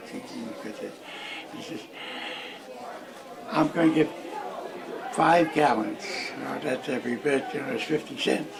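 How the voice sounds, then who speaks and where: Over crowd noise and audible room echo, a man with an American accent talks at a very slow pace, leaving long, frequent pauses. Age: 90s. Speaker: elderly interviewee. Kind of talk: oral history interview. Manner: halting, repeats words.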